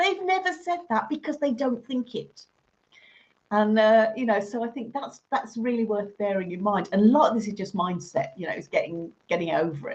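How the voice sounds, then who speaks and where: Somewhat breathy, a woman speaks at a moderate pace with lively intonation. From Birmingham, England. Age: 50s. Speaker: teacher trainer. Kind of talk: interview.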